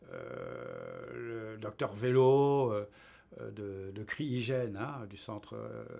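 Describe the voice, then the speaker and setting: A man speaking at a very slow pace. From France. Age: 70s. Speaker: retired engineer. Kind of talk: interview. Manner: halting, many hesitations.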